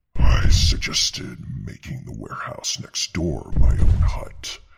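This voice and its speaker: A man growls in a put-on character voice with a very deep, low pitch. He keeps a moderate pace. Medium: audio drama. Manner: calm, dry, understated.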